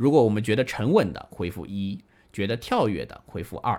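A man speaks at a fairly quick pace in an ordinary speaking voice, fairly low in pitch with ordinary pitch variation. The recording is very clean, with a silent background. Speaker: classical music radio host. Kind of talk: live-streamed music talk show with listener interaction. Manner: casual, many filler particles.

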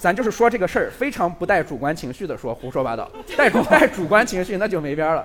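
A man with a high pitch talks at a fairly quick pace with hardly any pauses and very wide pitch swings. Noticeable background noise sits behind him. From Lanzhou, northwest China. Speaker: video creator. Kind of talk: live talk show chat. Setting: stage with audience.

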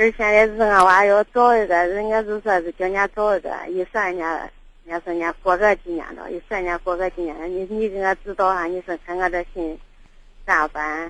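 A woman with a southern Shaanxi accent talks at a moderate pace and a medium pitch, with fairly even intonation. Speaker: caller. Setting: phone call.

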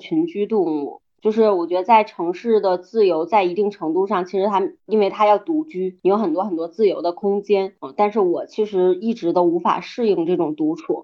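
Using a normal speaking voice, a woman talks at a moderate pace with medium pitch and ordinary pitch variation. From Jinzhou, Liaoning, northeast China. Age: 30s. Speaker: community operations manager. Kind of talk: casual chat.

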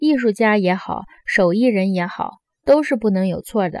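With lively intonation and a fairly high pitch, a woman talks at a fairly slow pace in a dry, close sound with no echo. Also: very clean recording, silent background. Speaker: audiobook narrator. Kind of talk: audiobook reading aloud of a philosophical dialogue. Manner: animated, shifting between characters' argumentative tones; formal, measured literary delivery.

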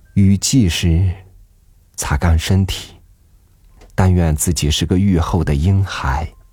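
A man with a very deep, low pitch speaks at a very slow pace, with long, frequent pauses. His voice is somewhat breathy, with ordinary pitch variation. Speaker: podcast host reading an essay. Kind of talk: literary audiobook reading, reflective prose essay. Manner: slow, contemplative, wistful, gently measured; soft, intimate, pausing between phrases.

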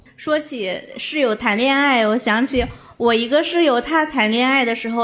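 A woman speaks at a fairly slow pace. Her voice is high, with ordinary pitch variation. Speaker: comedian. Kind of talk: casual chat. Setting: stage with audience.

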